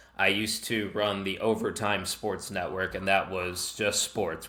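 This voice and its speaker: The speaker has a Chicago accent. The tone is bright and sharp. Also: man. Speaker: wrestling podcast host and network founder. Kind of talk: podcast interview. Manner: casual, animated.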